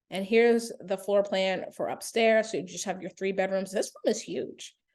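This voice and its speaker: With fairly even intonation, a female speaker holds a medium pitch. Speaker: real estate agent. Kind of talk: tutorial. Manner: casual with fillers; fast.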